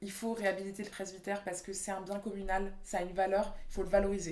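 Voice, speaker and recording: A woman speaks at a fairly quick pace in a medium pitch. Room echo can be heard around her voice. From Réunion. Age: 20s. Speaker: urban planning architect. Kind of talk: interview. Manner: casual, hesitant with fillers.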